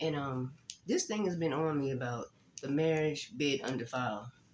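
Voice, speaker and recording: Somewhat breathy, a man with a fairly high pitch speaks with ordinary pitch variation. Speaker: faith vlogger. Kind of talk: casual vlog talk.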